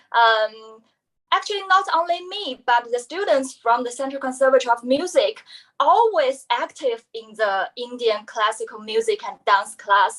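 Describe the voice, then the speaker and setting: With a Chinese accent, a woman speaks at a high pitch and a moderate pace, with very wide pitch swings and big swings in loudness. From China. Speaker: musician and doctoral student. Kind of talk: panel presentation. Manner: halting.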